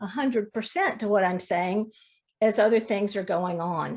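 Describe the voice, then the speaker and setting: The speaker is a woman with a fairly high pitch. She has an unremarkable speaking voice and keeps a moderate pace. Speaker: fiber arts teacher. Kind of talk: demonstration lecture.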